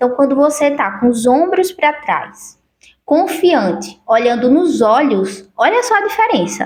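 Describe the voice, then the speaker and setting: A woman's high pitch comes through as she talks at a fairly slow speed. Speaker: self-help youtuber. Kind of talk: motivational talk to camera.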